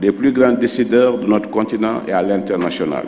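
Light background noise runs through the clip. A man does the talking. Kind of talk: formal ceremonial speech. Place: hall. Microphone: podium.

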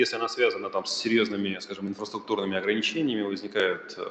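A man speaks at a fairly quick pace. There is audible room echo and light background noise. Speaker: regional government minister. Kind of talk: conference presentation. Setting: stage with audience. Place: hall.

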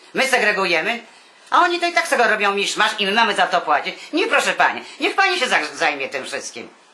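Over noticeable background noise, the speaker moves at a fairly quick pace with very wide pitch swings. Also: woman. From Warsaw, Poland. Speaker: retired artist. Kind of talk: interview answer.

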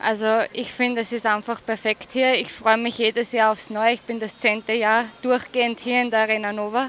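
A woman's fairly high voice with an Austrian accent, at a moderate pace, with monotone, flat intonation, hardly any pauses, and a dry sound with no echo. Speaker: show jumping rider. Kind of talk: sports interview. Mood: cheerful, pleased. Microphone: handheld.

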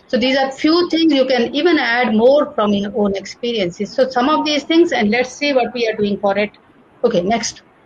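A woman with an Indian accent speaks at high pitch and a moderate pace with lively intonation over noticeable background noise. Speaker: nursing professor. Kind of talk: lecture. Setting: video call.

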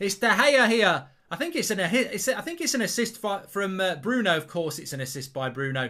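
Over a quiet background, a man with a high pitch uses a raised, projected voice with a bright, sharp tone at a moderate pace. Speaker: football fan channel presenter. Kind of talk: live commentary-style reaction. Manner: excitable, loud, gushing with superlatives. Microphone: studio mic.

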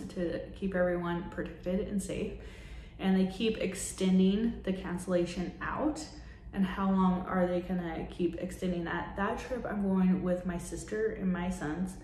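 In an American accent, the speech moves at a fairly slow pace with fairly even intonation, audible room echo and light background noise. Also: woman, medium pitch for a woman. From US, Idaho. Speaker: vlogger, city employee; vlogger. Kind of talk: casual vlog monologue; casual vlog chat. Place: home room. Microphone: phone near.

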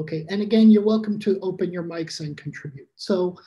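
In an American accent, a man talks with high pitch, fairly even intonation and a dark, mellow tone. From US Midwest. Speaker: teacher trainer. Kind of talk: online workshop presentation. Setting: video call. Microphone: video call.

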